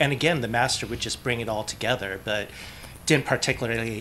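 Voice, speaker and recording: Over light background noise, a man speaks at a fairly quick pace. His is a plain, everyday voice at a medium pitch. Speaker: AR developer. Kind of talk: convention panel discussion. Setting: stage with audience. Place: meeting room. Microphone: podium.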